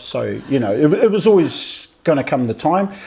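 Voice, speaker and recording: Speaking with a New Zealand accent, a man keeps a moderate pace and lively intonation. Noticeable background noise runs underneath. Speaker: podcast host. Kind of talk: casual podcast conversation.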